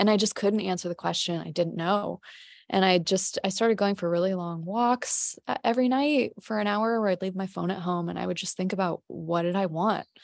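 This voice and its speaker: A woman with a plain, everyday voice speaks at a fairly quick pace and medium pitch, with ordinary pitch variation, in a dry, close recording with no echo and a quiet background. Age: 30s. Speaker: pottery glaze business owner. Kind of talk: casual chat. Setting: video call.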